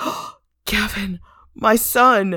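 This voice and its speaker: A man's put-on character voice, pitched high. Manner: mock emotional, insincere.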